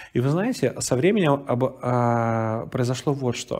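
The speaker is male. His pitch moves up and down in an ordinary way. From Russian Far East, Vladivostok; Russia. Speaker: pastor. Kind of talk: sermon. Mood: warm, storytelling. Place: hall.

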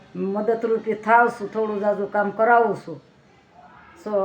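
Noticeable background noise runs under the speech. The speaker is a woman with a medium pitch. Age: 60s. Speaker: village vlogger. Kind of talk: casual vlog monologue. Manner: animated.

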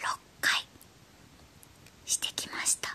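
Fairly slow whispering from a woman. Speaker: toy unboxing creator. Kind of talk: whispered ASMR toy unboxing. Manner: whispered. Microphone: phone near.

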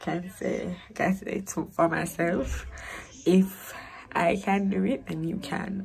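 A woman's fairly low voice with vocal fry, fairly even intonation and a very slow pace. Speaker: vlogger. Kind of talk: vlog talk to camera.

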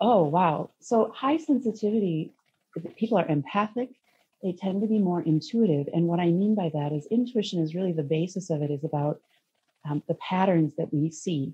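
Here a woman speaks with an American accent and a fairly low pitch. Her voice is somewhat breathy, with lively intonation. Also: moderate pace. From US Midwest, Minnesota. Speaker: parenting guest, intuitive counselor; guest. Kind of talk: interview conversation. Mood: earnest, reflective. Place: home room. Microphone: video call.

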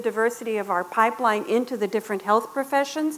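With an American accent, a woman speaks very fast at a high pitch. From Texas, Laredo; Texas. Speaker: public health professor. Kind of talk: conference lecture. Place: meeting room.

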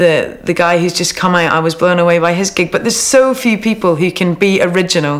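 This woman has a fairly low pitch with ordinary pitch variation. She talks at a fairly quick pace with hardly any pauses. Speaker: interviewee. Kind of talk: interview answer. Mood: relaxed, upbeat. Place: home room.

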